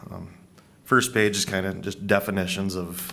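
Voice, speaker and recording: This man has a very deep, low pitch. His intonation is monotone and flat. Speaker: county staff presenting policy. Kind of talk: public meeting presentation. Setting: county board work session. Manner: loud.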